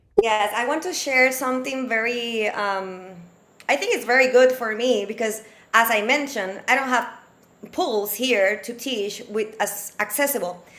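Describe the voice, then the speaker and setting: A bright, sharp voice at a moderate pace with ordinary pitch variation and audible room echo. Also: woman, fairly high pitch for a woman. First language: not English. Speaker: aquatic fitness instructor, panelist. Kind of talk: webinar panel discussion. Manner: halting.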